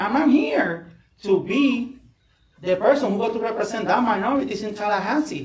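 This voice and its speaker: Heard with audible room echo, a man speaks with a non-native accent. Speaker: political candidate. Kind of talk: candidate forum closing statement.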